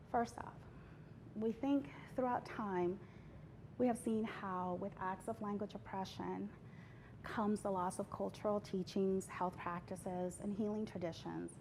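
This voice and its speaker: A woman's medium-pitched, somewhat breathy voice, broken by long, frequent pauses. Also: ordinary pitch variation, fairly slow pace. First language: not English. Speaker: healthcare language justice advocate. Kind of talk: award interview. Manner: formal.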